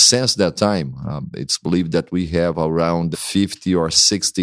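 On a very clean recording with a silent background, a man with a Brazilian accent and a very deep, low pitch speaks at a moderate pace with ordinary pitch variation. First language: Portuguese. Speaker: pastor. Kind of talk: interview conversation.

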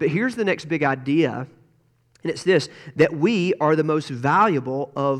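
A man's normal speaking voice, fairly high in pitch with ordinary variation, at a fairly slow pace over a quiet background. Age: 40s. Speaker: pastor. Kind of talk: sermon. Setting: church.

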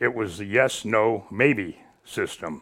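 In a Midwestern American accent, a man with a fairly low pitch speaks at a very slow pace with ordinary pitch variation. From northern Illinois (Ottawa). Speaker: retired radio station manager. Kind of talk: casual interview. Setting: studio.

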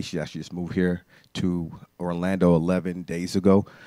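A man with an American accent speaks at a fairly quick pace in a very deep, low pitch and a dark, mellow tone, the sound dry and close with no echo on a very clean recording with a silent background. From Bahamas, raised in the US from age five. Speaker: ministry worker. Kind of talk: testimony. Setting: church with congregation.

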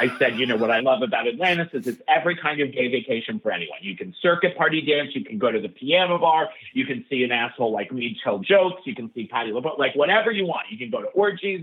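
Talking at a very fast pace with hardly any pauses, a man with a New York accent uses a fairly high voice with very wide pitch swings. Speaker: stand-up comedian and comedy writer. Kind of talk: casual chat.

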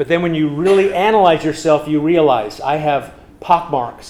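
With an American accent and a fairly high pitch, a man speaks with ordinary pitch variation amid noticeable background noise and audible room echo. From US West, California and Nebraska. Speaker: pastor. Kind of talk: sermon. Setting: church.

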